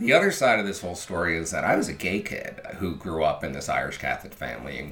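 Noticeable background noise sits behind a man with an American accent speaking at a fairly quick pace. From Philadelphia. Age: 50s. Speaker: former TV video editor, storyteller. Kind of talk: personal storytelling.

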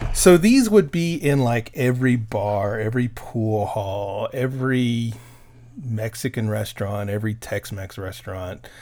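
A man's plain, everyday voice with an American accent, medium pitch and ordinary pitch variation, at a fairly slow pace, on a very clean recording with a silent background. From Texas. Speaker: podcast host. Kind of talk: casual chat.

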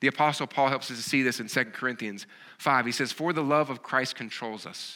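A man with a bright, sharp tone and lively intonation speaks in a very clean recording with a silent background. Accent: Southern US. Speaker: pastor. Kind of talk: sermon. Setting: church.

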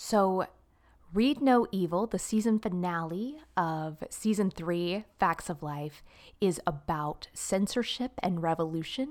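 With an American accent, a woman of medium pitch speaks very slowly with lively intonation on a very clean recording with a silent background. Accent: Southern twang, turned on at times. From Florida, Jacksonville. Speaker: actress and dancer. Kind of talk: casual chat.

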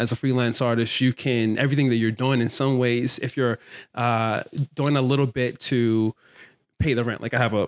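In a normal speaking voice, a man with an American accent talks at a moderate pace and medium pitch with fairly even intonation, the sound dry and close with no echo on a very clean recording with a silent background. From Baltimore, Maryland, US. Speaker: plant stylist and filmmaker. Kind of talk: interview conversation.

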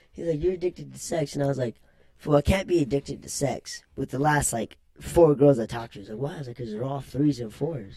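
A man's very fast, somewhat breathy voice, fairly high in pitch yet dark and mellow in tone, with ordinary pitch variation and big swings in loudness. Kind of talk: casual chat.

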